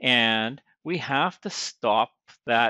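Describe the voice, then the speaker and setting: In a dry sound with no echo and a quiet background, a man speaks with a bright, sharp tone. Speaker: service school instructor. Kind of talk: tutorial. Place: farm machine. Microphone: phone near.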